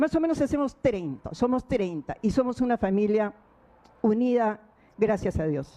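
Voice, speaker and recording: A woman speaks at a fairly slow pace. Her tone is dark and mellow, with lively intonation. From Peru. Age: 60s. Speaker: defendant in court. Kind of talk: court statement. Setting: courtroom. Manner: formal.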